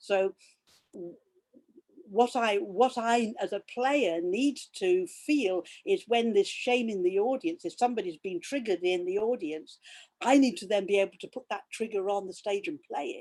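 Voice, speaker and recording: Speaking at a moderate pace with an English accent, a woman shows big swings in loudness. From England. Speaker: fooling teacher. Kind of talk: interview conversation. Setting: video call. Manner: halting with repetitions.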